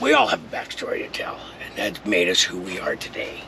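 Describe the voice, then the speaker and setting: A man with an American accent speaks at a moderate pace, with noticeable background noise behind him. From Southern California. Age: 60s. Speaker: retired contractor and vlogger. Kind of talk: personal vlog monologue. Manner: casual, loosely scripted.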